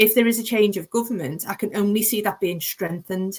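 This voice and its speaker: A woman's fairly quick delivery in a Liverpool accent, with fairly even intonation. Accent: Liverpool (Scouse). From Liverpool, England. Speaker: planning lawyer, panelist. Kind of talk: panel webinar discussion. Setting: online webinar.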